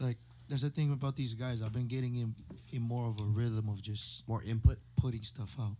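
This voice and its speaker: Speaking at a fairly quick pace, a man uses an ordinary speaking voice with medium pitch and fairly even intonation. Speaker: singer. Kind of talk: casual chat. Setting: studio.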